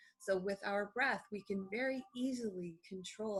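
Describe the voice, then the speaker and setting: The voice has a calm, soothing tone with ordinary pitch variation. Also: woman. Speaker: doctor of acupuncture and Eastern medicine. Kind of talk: interview answer.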